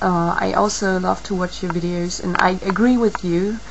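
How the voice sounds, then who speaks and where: A woman speaks with a non-native accent. Noticeable background noise and audible room echo are present. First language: not English. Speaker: video blogger. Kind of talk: video response monologue. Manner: halting, many fillers.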